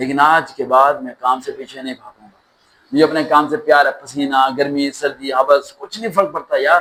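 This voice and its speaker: Ordinary pitch variation runs through this man's fairly high voice. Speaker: motivational speaker. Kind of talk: motivational speech. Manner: passionate, intense, emphatic.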